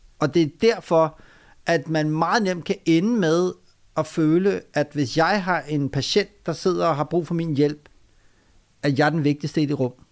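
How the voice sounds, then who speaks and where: In a very clean recording with a silent background, a man with a plain, everyday voice speaks at a fairly slow pace with ordinary pitch variation. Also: fairly high pitch for a man. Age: 40s. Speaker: doctor, author and public speaker. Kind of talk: interview conversation. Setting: guest's private home.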